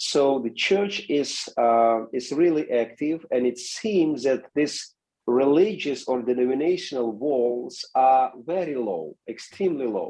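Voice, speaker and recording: Speaking at a fairly slow pace with a non-native accent, a man has a dark, mellow tone and lively intonation. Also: medium pitch for a man, hardly any pauses. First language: not English. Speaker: seminary president and pastor. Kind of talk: interview. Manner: halting.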